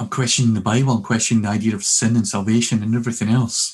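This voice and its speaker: In a Scottish accent, a man talks at a medium pitch with a somewhat breathy voice. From Scotland, working-class Glasgow. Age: 50s. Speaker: minister and conference speaker. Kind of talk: casual interview.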